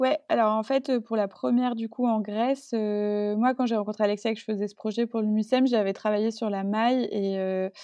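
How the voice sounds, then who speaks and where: This woman's voice is fairly high in pitch, with fairly even intonation. She speaks at a moderate pace. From Marseille, southern France. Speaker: fashion designer and brand co-founder. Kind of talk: interview conversation. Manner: hesitant, many fillers.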